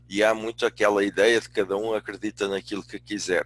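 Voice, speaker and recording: The man's pitch is fairly low. The sound is dry and close, with no echo. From Portugal. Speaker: business school dean and management consultant. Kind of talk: webinar lecture. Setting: online webinar. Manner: hesitant, with many fillers.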